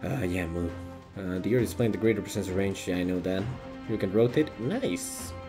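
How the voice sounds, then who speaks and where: Over music in the background, a man talks fairly quickly in a fairly low voice with ordinary pitch variation. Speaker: streamer. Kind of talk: casual gameplay commentary.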